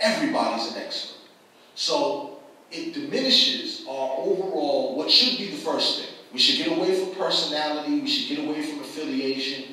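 Strong room echo surrounds a man speaking high in pitch with an American accent, his pitch swinging very widely. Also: moderate pace. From Boston. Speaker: community activist and media publisher. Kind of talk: panel talk. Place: hall.

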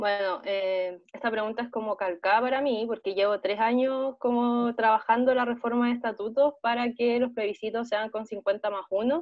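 In an ordinary speaking voice, a woman with a fairly high pitch talks at a moderate pace with fairly even intonation and hardly any pauses over a quiet background. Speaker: student election candidate; election candidate. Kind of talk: debate. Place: home room. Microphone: earbuds.

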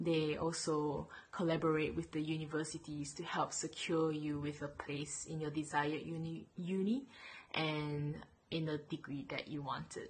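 Somewhat breathy and monotone, the voice moves at a moderate pace with flat intonation. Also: woman, very deep, low pitch for a woman. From Malaysia. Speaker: dental student. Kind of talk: testimonial. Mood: warm, cheerful. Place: home room. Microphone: webcam.

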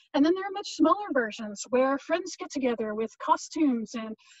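Against a quiet background, a woman talks at a fairly quick pace and a high pitch. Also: dry sound with no echo. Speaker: video host. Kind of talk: casual explainer vlog. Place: garden.

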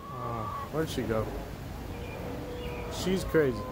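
A man talks at a moderate pace, the sound dry with no echo but with noticeable background noise. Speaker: vlogger. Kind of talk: casual talk to camera. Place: garden. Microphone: phone near.

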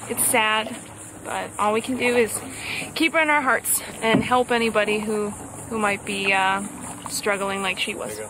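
Over noticeable background noise, the woman talks at a moderate pace, and her pitch varies in an ordinary way. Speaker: family vlogger. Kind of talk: casual vlog chat. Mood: somber, reflective. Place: boat. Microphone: phone near.

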